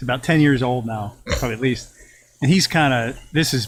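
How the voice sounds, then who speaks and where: A man speaks at a medium pitch with ordinary pitch variation and a somewhat breathy quality. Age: 60s. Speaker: business owner. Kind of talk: casual interview chat. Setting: sitting in a hot tub.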